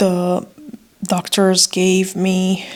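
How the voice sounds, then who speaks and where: The accent is non-native. The speaker is a woman. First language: not English. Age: 30s. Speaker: vlogger sharing pregnancy story. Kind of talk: personal testimony vlog. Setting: hospital room. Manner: hesitant, with frequent fillers.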